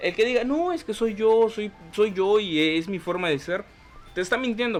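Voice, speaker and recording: A man speaks over noticeable background noise. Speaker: podcast host. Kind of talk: vlog tutorial. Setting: talking to camera. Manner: fast.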